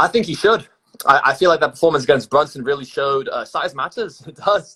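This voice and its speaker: Bright and sharp in tone, a man's high voice carries an American accent. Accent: sounds British at the moment. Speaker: college wrestler. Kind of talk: casual chat. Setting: Instagram live video stream.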